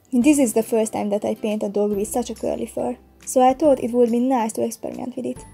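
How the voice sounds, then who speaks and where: A woman talks very fast while music plays in the background. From Hungary. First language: Hungarian. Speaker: digital artist. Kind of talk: painting process voice-over.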